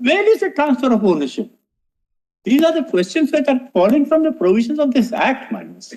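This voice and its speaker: A loud man at an extremely high pitch, fairly quick pace and very wide pitch swings. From India, Bombay. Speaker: senior advocate. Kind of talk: courtroom argument. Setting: courtroom. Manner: formal.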